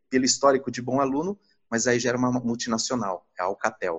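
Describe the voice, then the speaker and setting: A man is speaking. His pace is moderate. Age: 40s. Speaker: finance executive turned investment advisor. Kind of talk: interview. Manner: hesitant, many fillers.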